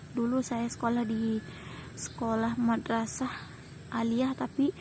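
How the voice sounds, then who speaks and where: In a plain, everyday voice, a woman talks at a fairly slow pace with a fairly high pitch and fairly even intonation. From Lombok, Indonesia. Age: 20s. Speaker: vlogger and shop worker. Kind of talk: casual vlog chat. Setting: outdoors near rice fields.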